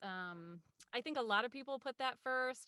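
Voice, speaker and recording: A woman with an American accent speaks at a fairly quick pace in a bright, sharp tone, her pitch varying in an ordinary way. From Ohio. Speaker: voice actor. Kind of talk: interview answer.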